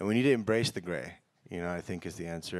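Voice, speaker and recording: An American accent in a very clean recording with a silent background. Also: man. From Egypt and the US. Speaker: documentary filmmaker. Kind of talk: panel discussion. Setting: stage with audience.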